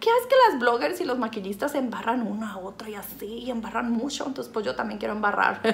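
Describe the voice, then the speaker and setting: A woman with a fairly high pitch and an animated tone talks at a very fast pace with hardly any pauses over light background noise. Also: ordinary pitch variation. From Mexico, Sinaloa. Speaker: YouTuber. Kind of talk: makeup tutorial. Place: home room. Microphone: phone near.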